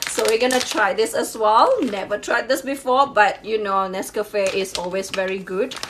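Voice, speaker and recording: Over noticeable background noise, a woman with a Chinese accent speaks at a moderate pace in a fairly high pitch. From Malaysia, Sabah (Borneo). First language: Hakka Chinese. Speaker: YouTuber. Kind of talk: casual unboxing vlog. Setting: home kitchen.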